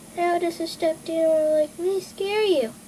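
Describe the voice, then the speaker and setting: A woman does a squeaky, cartoonish character voice at an extremely high pitch. She keeps a moderate pace over clear background noise. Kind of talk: kid's amateur puppet voice. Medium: puppet show. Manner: silly, childish.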